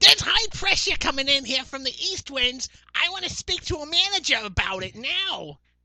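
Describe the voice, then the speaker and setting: A put-on character voice, female-sounding and high in pitch. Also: moderate pace. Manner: demanding, entitled.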